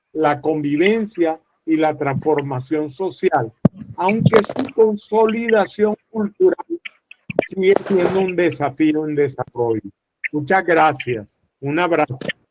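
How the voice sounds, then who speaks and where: A man's fairly high voice, very slow pace, lively intonation, and a dry, close sound with no echo. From Colombia. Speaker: conflict resolution expert. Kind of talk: panel presentation. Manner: formal.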